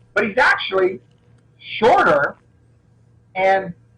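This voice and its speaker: A man with an American accent speaks. His voice is raised and projected. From Florida, US South. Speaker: martial artist and action film actor. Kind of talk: interview. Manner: halting, repeats words.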